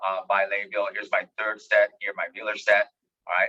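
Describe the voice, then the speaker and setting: A man's moderately paced speech has a dry, close sound with no echo. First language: Spanish. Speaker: education expert. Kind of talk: webinar lecture. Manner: animated.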